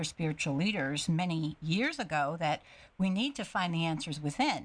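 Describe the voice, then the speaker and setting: Against a quiet background, a woman with a fairly low pitch talks in an ordinary speaking voice. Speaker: radio host. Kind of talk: radio interview.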